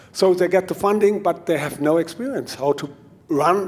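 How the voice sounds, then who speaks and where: Talking at a moderate pace, a man speaks in a high pitch with a German accent. His pitch varies in an ordinary way. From Germany. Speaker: mountain bike trail consultant. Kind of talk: conference talk. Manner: halting.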